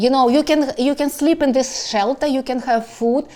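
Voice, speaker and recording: Her pace stays moderate. The woman has a Russian accent. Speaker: business owner. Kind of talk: personal life story monologue. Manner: halting.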